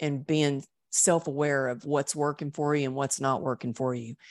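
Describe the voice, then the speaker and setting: A woman speaks against a quiet background. Her sound is dry and close, with no echo. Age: 50s. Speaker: motivational speaker and author. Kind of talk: interview testimony.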